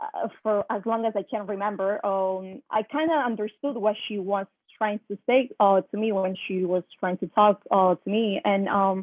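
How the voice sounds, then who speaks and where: Speaking with a Spanish accent, a woman keeps a medium pitch and a moderate pace. She uses ordinary pitch variation and hardly any pauses. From Italy. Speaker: high school teacher. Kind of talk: personal testimony in online workshop. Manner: halting, many fillers.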